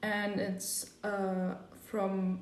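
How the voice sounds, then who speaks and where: This voice carries a German accent. Audible room echo surrounds it. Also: woman. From Germany. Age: young. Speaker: podcast host, volunteer. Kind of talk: casual podcast chat.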